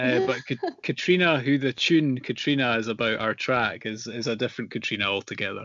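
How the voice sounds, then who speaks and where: A medium-pitched man at a fairly quick pace, with noticeable background noise. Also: ordinary pitch variation. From northeast Scotland, small coastal town. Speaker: folk fiddler. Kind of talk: interview. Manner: halting, many fillers and repeats.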